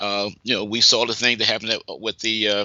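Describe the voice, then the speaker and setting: A man's ordinary speaking voice at a medium pitch. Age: 60s. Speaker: community leader. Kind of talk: interview.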